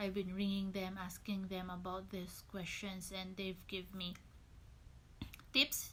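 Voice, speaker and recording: With a strong Filipino accent, a woman speaks in a bright, sharp tone and a monotone, flat intonation. Long, frequent pauses break up her speech, and audible room echo surrounds it. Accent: Filipino, thick. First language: Tagalog. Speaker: registered nurse. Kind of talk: tutorial. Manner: casual, hesitant.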